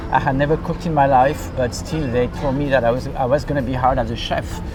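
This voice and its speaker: Music plays in the background and room echo is audible. The speaker has a French accent, a moderate pace and fairly even intonation. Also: man. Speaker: restaurant owner. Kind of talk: interview. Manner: hesitant, many fillers.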